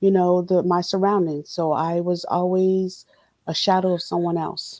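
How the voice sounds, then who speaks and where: A woman with an American accent speaks at a fairly low pitch. Her tone is dark and mellow, with monotone, flat intonation. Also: moderate pace. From Palm Springs, California. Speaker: guest sharing life story. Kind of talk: personal testimony.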